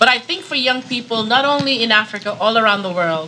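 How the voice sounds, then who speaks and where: Her voice is fairly high, and her intonation is lively. The woman keeps a moderate pace over noticeable background noise. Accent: American. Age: 60s. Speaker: NGO founder, panelist. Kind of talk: panel discussion.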